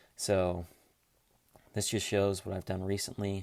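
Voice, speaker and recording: A man speaks with a very deep, low pitch and monotone, flat intonation. The recording is very clean, with a silent background. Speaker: finance YouTuber. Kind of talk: tutorial. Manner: fast; casual, many filler words.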